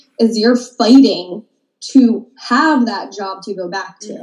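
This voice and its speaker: This is an ordinary speaking voice from a woman with an American accent. Her pitch is fairly high, with ordinary pitch variation. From Maryland, US. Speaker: boutique owner. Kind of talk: casual interview.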